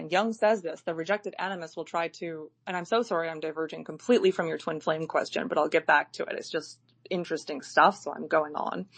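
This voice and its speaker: At a fairly quick pace, this is an ordinary speaking voice with ordinary pitch variation. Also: woman. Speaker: live audio chat host. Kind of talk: casual chat.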